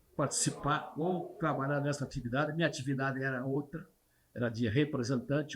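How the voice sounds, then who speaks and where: A man talks at a fairly quick pace with a fairly high, somewhat breathy voice. His intonation stays fairly even. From Brazil, Paraná. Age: 80s+. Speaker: retired trucking industry leader. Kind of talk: interview, reminiscing.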